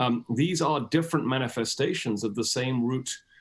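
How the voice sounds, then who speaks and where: Speaking with a British accent, a man keeps a moderate pace, a medium pitch and ordinary pitch variation. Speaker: historian and author. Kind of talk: interview. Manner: hesitant, many fillers.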